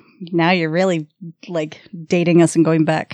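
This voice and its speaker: Captured on a very clean recording with a silent background, a woman speaks at a fairly low pitch. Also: dry, close sound with no echo. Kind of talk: casual chat.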